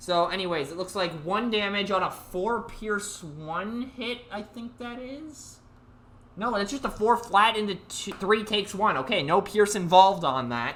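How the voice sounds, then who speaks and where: The delivery is animated and fairly slow. Noticeable background noise runs underneath. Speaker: tournament stream host and commentator. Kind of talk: live game commentary. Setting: online voice call. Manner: loud.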